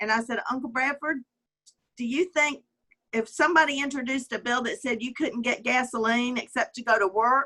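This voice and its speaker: A woman with a Southern US accent, high in pitch, with a bright, sharp tone, fairly even intonation and a fairly quick pace. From US South, Alabama. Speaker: communications executive. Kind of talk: interview conversation. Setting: video call. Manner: hesitant, many fillers.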